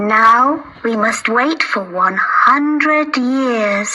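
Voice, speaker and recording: Over loud background noise, a female-sounding, put-on character voice speaks at a very slow pace and high pitch. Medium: read story.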